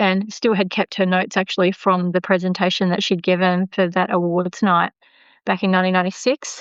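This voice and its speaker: A woman's medium-pitched voice in an Australian accent, fairly quick, very even in loudness and flat, monotone in intonation. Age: 50s. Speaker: podcast host. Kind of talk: interview.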